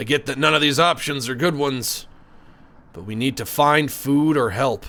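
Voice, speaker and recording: Putting on a raspy character voice, a man speaks at a moderate pace and medium pitch with ordinary pitch variation and big swings in loudness. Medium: game stream.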